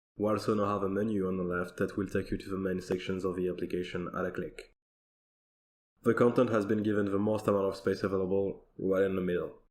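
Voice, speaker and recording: A man with a non-native accent talks at a very fast pace in a monotone, flat intonation. The recording is very clean, with a silent background. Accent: non-native accent, noticeable. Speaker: software developer. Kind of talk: recorded conference demo.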